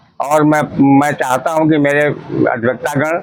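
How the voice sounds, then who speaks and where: A man's fairly high, monotone, flat voice over music in the background. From Unnao, Uttar Pradesh, India. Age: 70s. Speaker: lawyer, election candidate. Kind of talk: interview. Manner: formal.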